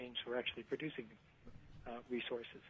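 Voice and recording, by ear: A man speaks softly. His voice has a slightly husky edge.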